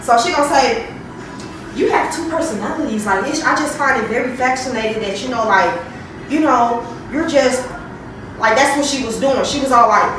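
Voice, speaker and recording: Loud and animated, a woman with a high pitch and ordinary pitch variation speaks with long, frequent pauses amid noticeable background noise and audible room echo. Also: moderate pace. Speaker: nurse. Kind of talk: casual vlog rant.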